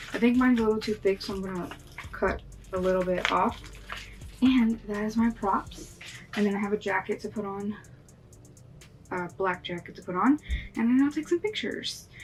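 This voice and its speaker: Music plays in the background. The speech moves at a fairly quick pace, broken by long, frequent pauses. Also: woman, medium pitch for a woman, ordinary pitch variation. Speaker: makeup artist YouTuber. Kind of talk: makeup tutorial. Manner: casual with fillers.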